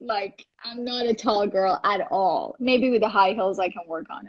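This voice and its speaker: A woman speaks at a fairly slow pace with a Persian accent and lively intonation. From Iran. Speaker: actress and model. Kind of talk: interview. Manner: animated.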